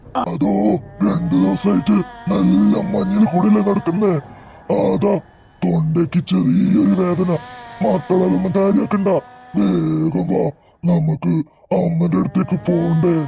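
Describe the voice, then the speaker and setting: Here is a cartoonish character voice. It moves at a fairly slow pace. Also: man, fairly high pitch for a man. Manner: coaxing.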